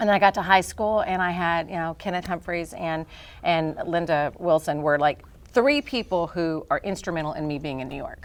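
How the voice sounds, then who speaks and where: A woman with an American accent has a normal speaking voice and lively intonation at a moderate pace. The recording is very clean, with a silent background. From US Deep South. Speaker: actress and studio co-owner. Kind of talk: podcast interview.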